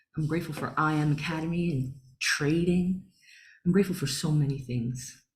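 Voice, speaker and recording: With a dark, mellow tone and a somewhat breathy quality, the woman talks at a moderate pace with lively intonation. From Long Island, New York. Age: 40s. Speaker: spiritual healer and meditation teacher. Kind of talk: online workshop talk. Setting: video call.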